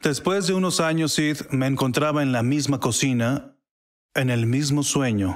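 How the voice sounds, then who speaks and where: On a very clean recording with a silent background, a man speaks at a fairly slow pace with fairly high pitch and ordinary pitch variation. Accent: English. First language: English (speaking Spanish). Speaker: prophetic minister. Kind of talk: testimony.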